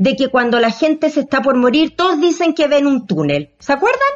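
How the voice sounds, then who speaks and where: A woman with a Chilean accent talks at a moderate pace in a high voice with lively intonation. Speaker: podcast host and actress. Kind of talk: casual chat.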